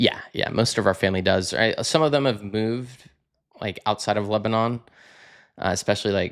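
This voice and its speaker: A man with an American accent has a plain, everyday voice. His pitch is fairly low with ordinary variation, at a fairly quick pace on a very clean recording with a silent background. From Texas, Fort Worth. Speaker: podcast guest. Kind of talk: casual chat.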